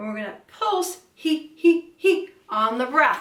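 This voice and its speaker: A woman speaks over noticeable background noise. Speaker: vocal coach. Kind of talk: vocal lesson, instructional talk to camera. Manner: clear, friendly, instructive.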